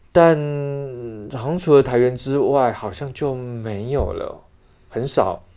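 With long, frequent pauses, a man speaks at a very slow pace in a dark, mellow tone at medium pitch. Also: ordinary pitch variation, big swings in loudness. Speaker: theatre actor and director. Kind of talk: interview.

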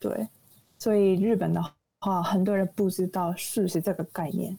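A woman's somewhat breathy voice at medium pitch with fairly even intonation. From Japan, Nagoya. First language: Japanese (speaking Chinese). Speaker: recent university graduate. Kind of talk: casual interview. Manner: halting.

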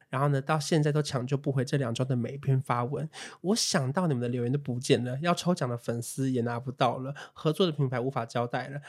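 This man's voice sits fairly high, moves with ordinary pitch variation and races along at a very fast pace. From Taiwan, Taipei. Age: 20s. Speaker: podcast co-host, influencer. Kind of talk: casual chat.

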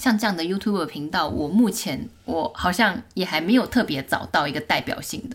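The voice is somewhat breathy, moving at a fairly quick pace with very wide pitch swings. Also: woman. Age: 30s. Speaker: YouTuber. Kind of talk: casual interview.

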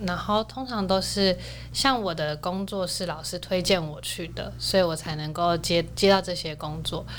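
Audible room echo surrounds this recording. A woman speaks at a moderate pace. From Taiwan, outside Taipei. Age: 20s. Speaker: dancer and university student. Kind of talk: casual interview.

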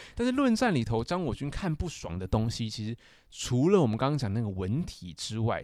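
A man speaks at a medium pitch and a fairly quick pace, with very wide pitch swings. The recording is very clean, with a silent background. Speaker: literature graduate student, podcast co-host. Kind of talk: casual chat.

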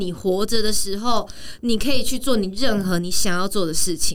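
This woman speaks in an animated tone. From Taiwan. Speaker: actress and professional dancer. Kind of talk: casual chat.

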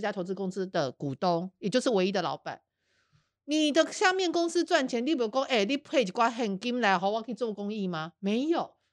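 The speaker uses an animated tone with very wide pitch swings at a moderate pace, recorded dry and close with no echo. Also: woman. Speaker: investigative journalist and podcast host. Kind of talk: casual chat.

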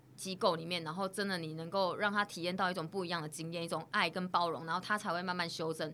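A woman's fairly low voice in a Taiwanese accent, bright and sharp in tone, flat and monotone, very fast with hardly any pauses. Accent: Taiwanese Mandarin. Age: 30s. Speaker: social worker. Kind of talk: interview. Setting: studio.

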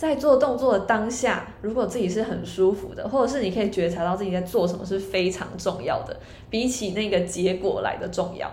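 Talking at a fairly quick pace with hardly any pauses, a woman at medium pitch uses ordinary pitch variation, with noticeable background noise and audible room echo. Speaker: yoga teacher. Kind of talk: casual chat.

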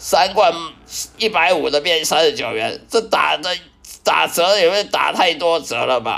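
A man talks with a high pitch and a fairly slow delivery. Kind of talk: personal testimony. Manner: halting, with repetitions and fillers.

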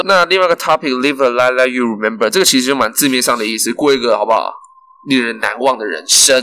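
Ordinary pitch variation at a very fast pace. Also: man, medium pitch for a man. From Taiwan, Kaohsiung. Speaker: podcast co-host. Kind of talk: casual chat. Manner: animated.

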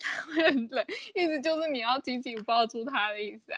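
With a slight non-native accent, a woman speaks fairly quickly in a high pitch and with lively intonation. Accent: slightly foreign-sounding Mandarin. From Taiwan, Pingtung. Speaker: podcast co-host. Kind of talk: casual chat.

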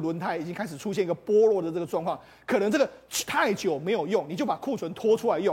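A man speaks at a very fast pace in an animated tone, his pitch high. Background noise is noticeable. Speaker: political commentator. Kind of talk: TV talk show panel discussion.

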